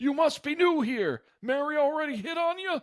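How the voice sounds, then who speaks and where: This man puts on a gruff character voice pitched extremely high, talking at a moderate pace. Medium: actual play. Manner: gruff, laconic.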